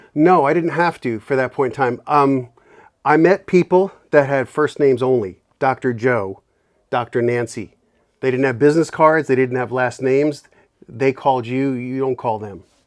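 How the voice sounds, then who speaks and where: The pitch moves in an ordinary way. The speaker has a New York accent. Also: man, medium pitch for a man, moderate pace. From New York City, the Bronx. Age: 60s. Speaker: inventor and bourbon maker. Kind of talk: casual interview chat.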